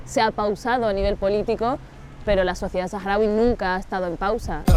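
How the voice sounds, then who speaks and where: A woman's mid-range voice, with fairly level intonation, comes through over clearly audible background noise. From Sahrawi refugee camps, Algeria; then Canary Islands. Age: 30s. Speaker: intercultural mediator and activist. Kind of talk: interview.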